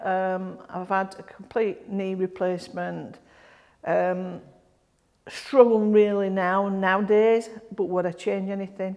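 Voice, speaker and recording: Speaking at a fairly slow pace, a woman has a medium pitch and a Yorkshire accent. Her intonation is flat and monotone. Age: 60s. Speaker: grassroots football club volunteer. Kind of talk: interview. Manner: halting.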